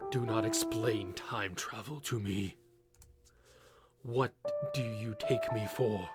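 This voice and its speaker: A man's put-on character voice at a medium pitch and fairly slow pace, over loud music in the background. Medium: read story. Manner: cold, dismissive.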